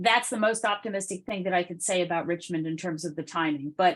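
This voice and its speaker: Against a quiet background, a woman talks at a moderate pace in a normal speaking voice with ordinary pitch variation. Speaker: consultant presenting to a city task force. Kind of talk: public meeting discussion.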